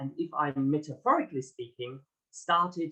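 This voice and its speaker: A man speaks in a bright, sharp tone at a fairly high pitch. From Germany. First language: German. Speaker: author and executive coach. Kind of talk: interview. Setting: podcast.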